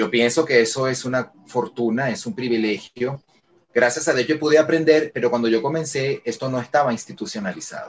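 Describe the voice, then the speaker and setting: Using a medium pitch with ordinary pitch variation, a man talks at a fairly quick pace. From Venezuela, Caracas. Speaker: voice actor. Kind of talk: interview. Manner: calm, friendly.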